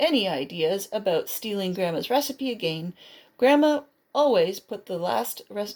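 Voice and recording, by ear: The background stays quiet as someone, reading aloud in a natural voice, uses lively intonation.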